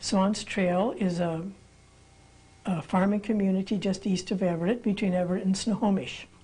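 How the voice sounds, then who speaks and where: A woman's somewhat breathy voice carries a dark, mellow tone. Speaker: interviewee, pastor's daughter. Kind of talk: interview answer. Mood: calm, reflective. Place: studio.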